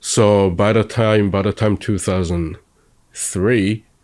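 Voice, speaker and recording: Fairly even intonation marks a man's fairly low voice. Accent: Japanese. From Japan. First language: Japanese. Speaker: interviewee, convert to Judaism. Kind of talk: interview. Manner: halting.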